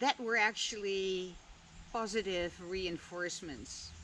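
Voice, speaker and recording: A woman with a Dutch accent speaks at a medium pitch. Her pace is very slow. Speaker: vlogger. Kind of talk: reflective monologue.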